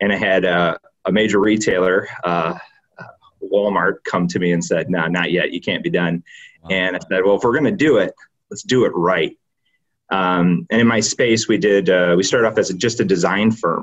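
Pitched fairly low, a man speaks with a slight Michigan accent and ordinary pitch variation. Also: moderate pace. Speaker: company founder and president. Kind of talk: podcast interview. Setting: video call.

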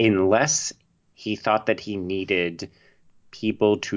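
A man with a Canadian accent speaks at a very slow pace. His pitch is very deep and low. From Canada, Toronto. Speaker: film writer and podcaster. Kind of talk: casual chat.

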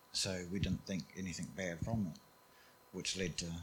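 A man's very deep, low voice with a New Zealand accent, somewhat breathy, at a moderate pace, in a flat monotone. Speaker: church member sharing testimony. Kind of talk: testimony.

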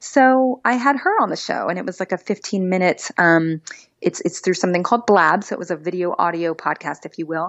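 A woman with a plain, everyday voice talks at a fairly quick pace and medium pitch, her intonation lively. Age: 30s. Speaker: beauty pageant titleholder and TV host. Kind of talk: casual interview.

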